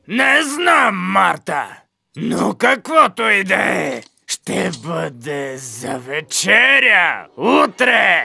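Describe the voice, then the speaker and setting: Putting on a character voice, a man projects loudly at a high pitch. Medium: fan dub.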